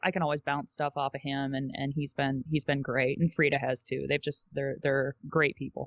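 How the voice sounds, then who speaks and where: A woman speaks with an American accent and a very deep, low pitch. Her pace is moderate and her intonation monotone and flat. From US Midwest, Michigan. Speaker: voice actor. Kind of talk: interview.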